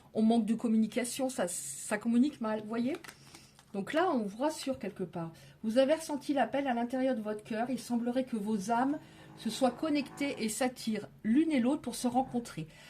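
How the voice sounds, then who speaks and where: Music plays behind a woman speaking at a high pitch. Her pace is moderate and her pitch variation ordinary. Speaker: tarot card reader. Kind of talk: tarot reading. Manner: loud.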